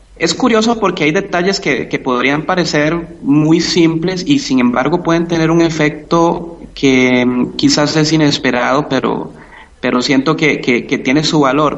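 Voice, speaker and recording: Over noticeable background noise, a man at a fairly high pitch speaks at a fairly slow pace, with ordinary pitch variation and very even loudness. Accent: Costa Rican. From Costa Rica. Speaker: math and physics teacher. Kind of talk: interview. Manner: hesitant, many fillers.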